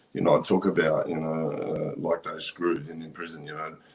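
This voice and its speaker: A man speaks rather quickly in an Australian accent. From Australia, Western Sydney. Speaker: survivor advocate and former prisoner. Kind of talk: casual chat.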